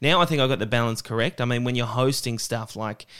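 A man with an Australian accent speaks at a medium pitch with fairly even intonation, recorded very cleanly against a silent background. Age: 30s. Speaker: stand-up comedian. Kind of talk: casual interview chat. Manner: halting, many false starts.

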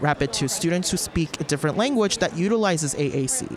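With noticeable background noise around him, a man speaks fairly quickly. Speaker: school speech pathologist. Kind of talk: conference interview. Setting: conference interview.

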